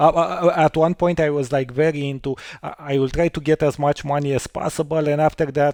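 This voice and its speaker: A man talks fairly quickly at a fairly high pitch, in a dark, mellow tone with fairly even intonation. The sound is dry and close, with no echo. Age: 40s. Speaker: podcast host. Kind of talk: casual interview chat.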